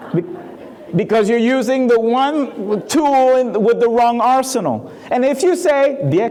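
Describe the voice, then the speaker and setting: A man with a Spanish accent speaks in an animated tone at an extremely high pitch, with lively intonation and very even loudness. Noticeable background noise and audible room echo surround him. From Puerto Rico. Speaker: keynote speaker. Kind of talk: keynote talk.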